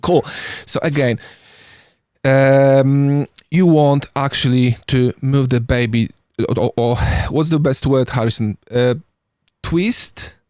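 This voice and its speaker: In a dry, close recording with no echo, a man with a non-native accent talks very slowly in a dark, mellow tone, leaving long, frequent pauses. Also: medium pitch for a man, ordinary pitch variation, very even loudness. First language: not English. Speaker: paramedic. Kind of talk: podcast discussion. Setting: live stream. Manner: halting.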